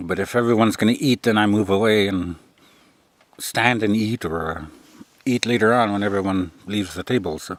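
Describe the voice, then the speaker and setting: A man with a fairly low voice and a relaxed tone. He talks at a moderate pace. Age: 50s. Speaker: military veteran and vlogger. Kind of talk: casual vlog monologue. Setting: outdoors by a tipi. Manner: monotone; relaxed, meandering with fillers.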